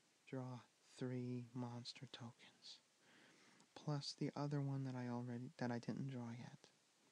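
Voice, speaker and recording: Soft-spoken and gentle in tone, the voice moves at a very slow pace. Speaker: ASMR video creator and board game player. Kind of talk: ASMR soft-spoken board game tutorial and playthrough. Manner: soft-spoken, gentle.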